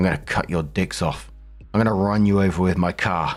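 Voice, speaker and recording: Faint music plays in the background as a man does a rumbling put-on character voice with a very deep, low pitch, fairly even intonation and a fairly quick pace. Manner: menacing.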